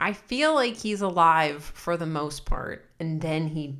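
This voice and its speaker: With a plain, everyday voice, a woman talks fairly slowly at a fairly low pitch and with ordinary pitch variation. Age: 30s. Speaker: podcast co-host. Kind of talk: casual chat.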